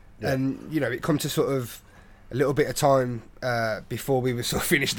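Here a man talks at a medium pitch. His intonation stays fairly even. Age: 20s. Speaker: podcast host. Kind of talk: casual chat.

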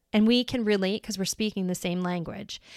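With an American accent and an animated tone, a woman talks at a fairly quick pace on a very clean recording with a silent background. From New York. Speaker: life coach and podcast host. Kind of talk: personal monologue.

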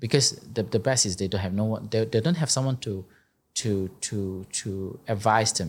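The recording is very clean, with a silent background. A somewhat breathy man speaks at a fairly low pitch and moderate pace, with ordinary pitch variation. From Malaysia, Negeri Sembilan. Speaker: entrepreneur. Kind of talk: interview.

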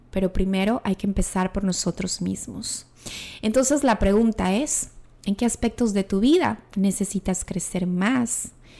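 A woman's dark, mellow voice at a medium pitch, fairly slow, with ordinary pitch variation. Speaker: podcast host and coach. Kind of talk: solo reflective monologue. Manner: trained diction.

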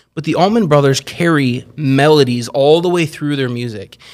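On a very clean recording with a silent background, a man with a normal speaking voice talks at a fairly high pitch and a moderate pace, his pitch varying in an ordinary way. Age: 40s. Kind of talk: casual chat. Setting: studio.

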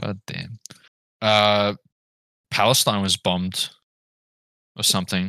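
A man's fairly low voice, bright and sharp in tone, monotone and flat, with long, frequent pauses and a dry, close sound with no echo. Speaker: podcast host. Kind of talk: casual chat. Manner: crude, joking.

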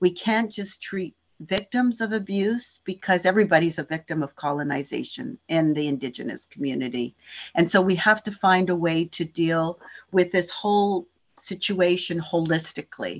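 A woman speaks in an ordinary speaking voice, fairly low-pitched, at a moderate pace with ordinary pitch variation against a quiet background. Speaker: social service agency representative. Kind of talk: interview answers.

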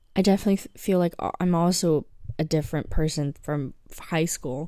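A woman speaks at a moderate pace with ordinary pitch variation. Her fairly low voice has a dark, mellow tone. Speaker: podcast co-host. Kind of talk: casual chat. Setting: remote recording, hosts in different time zones. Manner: low-energy.

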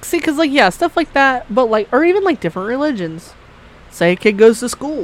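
A woman with a high pitch speaks at a fairly quick pace in an animated tone, her pitch swinging very widely. Noticeable background noise sits behind her. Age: 20s. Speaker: podcast host. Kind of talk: casual chat.

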